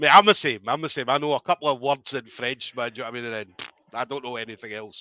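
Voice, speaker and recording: At a very fast pace, a bright, sharp voice with a Scottish accent and ordinary pitch variation comes through with a dry, close sound, no echo and a quiet background. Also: man. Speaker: combat sports interviewer. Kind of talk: interview.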